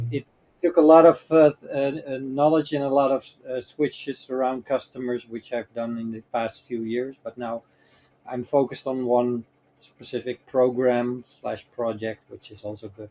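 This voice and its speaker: A man with a Dutch accent and a dark, mellow tone, medium pitch, fairly even intonation, moderate pace and big swings in loudness, in a dry, close sound with no echo. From Netherlands. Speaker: cloud infrastructure expert. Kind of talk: interview. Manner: hesitant, many fillers.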